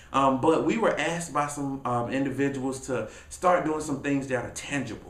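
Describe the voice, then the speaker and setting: A man with a fairly high pitch speaks in an energetic tone, with noticeable background noise and audible room echo. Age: 20s. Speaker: motivational speaker and author. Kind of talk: casual vlog talk to camera. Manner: fast.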